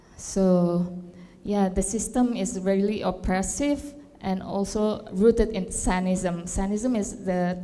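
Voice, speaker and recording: A woman talks at a medium pitch with ordinary pitch variation. Noticeable background noise runs underneath. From Indonesia, Jakarta. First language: not English; English is third language. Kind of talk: panel discussion. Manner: halting.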